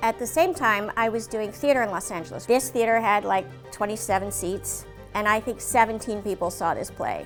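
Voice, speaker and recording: A speaker with an American accent goes at a fairly quick pace. Music plays in the background. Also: woman, fairly high pitch for a woman, lively intonation. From Washington, D.C., USA. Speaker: voice actor. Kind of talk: interview answer.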